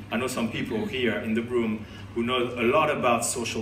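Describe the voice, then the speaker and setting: A man with a French accent speaks at a medium pitch and a moderate pace, with audible room echo and noticeable background noise. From France. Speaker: conference organizer and speaker. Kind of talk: conference talk. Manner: animated.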